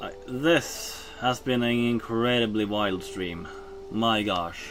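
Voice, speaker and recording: Over music in the background and with audible room echo, a man with a Norwegian accent talks very slowly at a medium pitch with ordinary pitch variation. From Norway. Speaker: streamer. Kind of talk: casual live-stream chat. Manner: halting.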